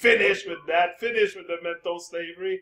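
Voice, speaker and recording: A man's high, bright, sharp voice, raised and projected, with lively intonation at a fairly slow pace. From France. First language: French. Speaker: talk show host. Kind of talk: casual chat. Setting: video call. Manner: animated.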